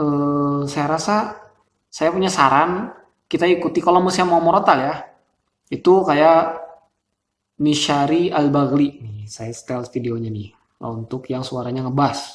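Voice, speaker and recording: A man with a shrill, fairly high voice talks at a moderate pace with ordinary pitch variation, big swings in loudness, and long, frequent pauses. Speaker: Quran recitation vocal coach. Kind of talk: tutorial. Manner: casual.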